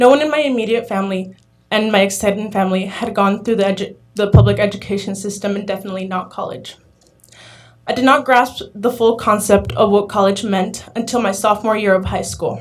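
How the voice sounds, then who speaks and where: A woman speaks in a Spanish accent. Her intonation stays fairly even. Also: medium pitch for a woman. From Arizona, US. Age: young. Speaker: community college student, public commenter. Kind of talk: public comment speech, read prepared statement. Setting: governing board meeting. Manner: halting, occasional stumbles.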